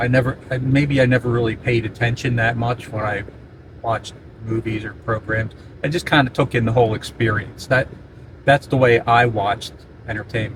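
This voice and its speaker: Over noticeable background noise, a man speaks at a moderate pace in a monotone, flat delivery. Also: medium pitch for a man. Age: 70s. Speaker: video blogger on aging. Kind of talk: casual monologue. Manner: halting, with fillers and repeated words.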